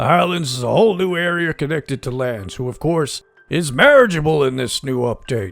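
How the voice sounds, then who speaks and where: Faint music plays in the background. A man speaks at a moderate pace in a put-on character voice. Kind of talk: gameplay commentary in character.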